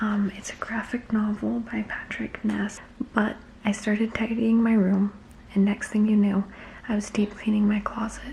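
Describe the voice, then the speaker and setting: A whisper moves at a moderate pace, with noticeable background noise behind it. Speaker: book vlogger. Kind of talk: casual vlog narration. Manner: whispering.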